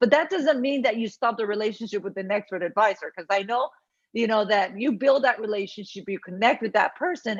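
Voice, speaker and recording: This woman talks at a fairly quick pace in a Spanish accent. Her pitch is fairly high and her intonation lively. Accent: Spanish accent, noticeable. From Puerto Rico. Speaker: university academic officer. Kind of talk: Q&A session. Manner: conversational, many fillers.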